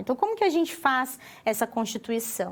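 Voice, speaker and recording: A woman with a Paraná accent speaks at a high pitch. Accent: Paraná accent with retroflex R. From Paraná, southern Brazil. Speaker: university lecturer. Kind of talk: lecture.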